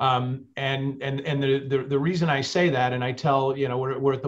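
A man at a fairly quick pace over a quiet background. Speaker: panelist. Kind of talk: panel discussion answer. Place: office. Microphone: video call.

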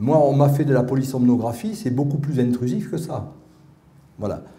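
This man has an ordinary speaking voice with a fairly high pitch. He talks at a fairly slow pace. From Paris. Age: 50s. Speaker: researcher and patient advocate; conference speaker. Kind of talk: testimony talk. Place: hall. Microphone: podium.

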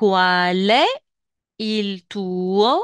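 A woman with a medium-pitched voice is heard in a dry, close sound with no echo against a quiet background. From Tunisia. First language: Tunisian Arabic (speaking Italian). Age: 40s. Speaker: language teacher. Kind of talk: lecture. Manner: slow.

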